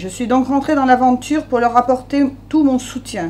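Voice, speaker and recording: Noticeable background noise behind a woman's high-pitched voice at a moderate pace. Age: 50s. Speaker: local election candidate. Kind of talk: press conference statement.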